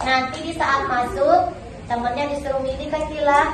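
With audible room echo and light background noise, a woman speaks at a moderate pace. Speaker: kindergarten teacher. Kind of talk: teacher explaining a game to small children. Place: classroom.

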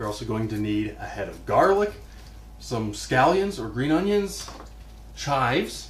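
A man talks at a fairly slow pace. There is audible room echo and light background noise. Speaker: cooking show host. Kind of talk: tutorial. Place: kitchen.

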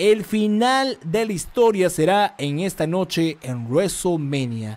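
Shouting, a man speaks in an animated tone with lively intonation. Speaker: live stream commentator. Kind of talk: live wrestling commentary. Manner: fast, excitable play-by-play, rapid-fire action calls; animated, repetitive, shouting hype. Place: home room. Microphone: studio mic.

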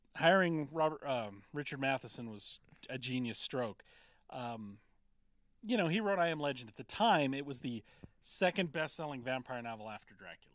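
The speech comes at a fairly quick pace in a dry sound with no echo over a quiet background. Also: man. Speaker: podcast host discussing films. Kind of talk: casual podcast discussion. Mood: enthusiastic, lightly humorous. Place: shop.

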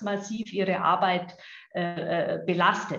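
A woman is speaking here. Audible room echo surrounds her voice. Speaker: health insurance executive. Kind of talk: video interview. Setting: video call. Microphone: video call.

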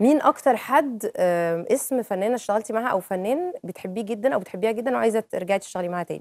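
In an Egyptian accent, the speech runs at a fairly quick pace with hardly any pauses and lively intonation, dry with no echo over a quiet background. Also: woman. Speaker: TV presenter. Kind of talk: TV talk show interview questions. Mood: playful, chatty. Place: studio. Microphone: lapel.

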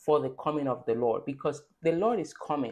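A woman talks against a quiet background, her pitch varying in an ordinary way. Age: 30s. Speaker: faith-based content creator. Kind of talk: devotional talk with scripture reading. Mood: earnest, exhorting. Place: home room. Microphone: phone near.

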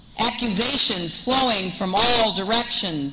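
A woman speaks at a very slow pace. Loud background noise sits behind her. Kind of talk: acceptance speech. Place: hall. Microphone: podium.

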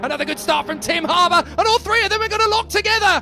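A man speaks in a raised, projected voice. Noticeable background noise sits behind him. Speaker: motorsport commentator and TV presenter. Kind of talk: live motorsport race commentary showreel. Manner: fast, urgent live race call.

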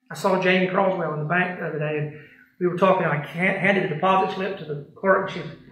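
A man talks fast at a high pitch with a fairly bright tone and fairly even intonation. Strong room echo surrounds his voice.

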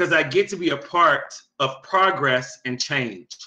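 A man with a bright, sharp tone speaks over a quiet background. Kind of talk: meeting presentation, reading answers. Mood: upbeat, praising. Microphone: webcam.

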